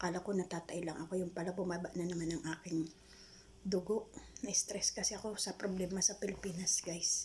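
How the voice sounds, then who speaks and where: Someone speaks at a fairly quick pace. Noticeable background noise is present. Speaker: vlogger. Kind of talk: personal testimony.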